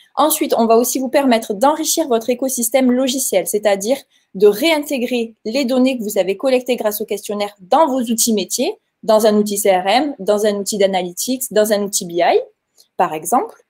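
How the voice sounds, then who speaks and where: A woman's fairly high voice in a Toulouse accent, at a moderate pace with ordinary pitch variation. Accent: southern French (Toulouse). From Toulouse, southern France. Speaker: software company representative. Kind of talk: webinar presentation.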